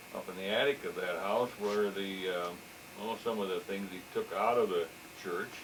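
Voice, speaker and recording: With an American accent, a man talks at a moderate pace as noticeable background noise goes on behind him. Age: 60s. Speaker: local business owner. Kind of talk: oral history interview. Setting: office. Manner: halting, many repeated words.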